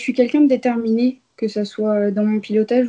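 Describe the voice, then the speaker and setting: The voice has a dark, mellow tone and a monotone, flat intonation, moving at a moderate pace. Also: woman. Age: 20s. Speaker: racing driver. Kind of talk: interview. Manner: hesitant, many fillers.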